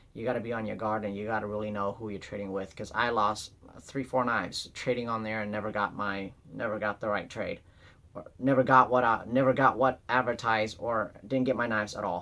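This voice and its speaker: A man speaks fairly quickly at medium pitch, his bright, sharp tone held in monotone, flat intonation. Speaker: knife collector YouTuber. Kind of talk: casual product show-and-tell. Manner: fast; halting, many fillers.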